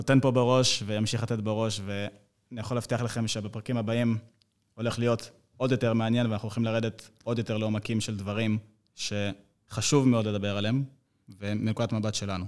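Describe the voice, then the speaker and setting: The recording is very clean with a silent background. A man speaks fairly quickly at a medium pitch, in a flat, monotone delivery. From Israel. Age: 20s. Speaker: fitness trainer. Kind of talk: casual chat.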